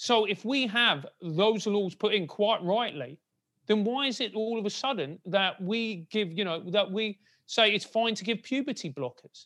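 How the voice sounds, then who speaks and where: The man's voice is high-pitched with a bright, sharp tone and ordinary pitch variation. He speaks at a moderate pace in a very clean recording with a silent background. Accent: South London. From South London, England. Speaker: podcast co-host. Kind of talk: casual interview chat.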